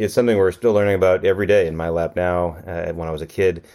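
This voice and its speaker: This very fast talker is a man with an American accent. Nothing disturbs the quiet background. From US Midwest, Racine, Wisconsin. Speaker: geneticist and professor. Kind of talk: interview.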